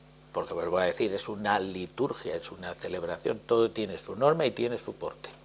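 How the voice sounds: Low in pitch, a man talks at a fairly quick pace with vocal fry. His pitch varies in an ordinary way.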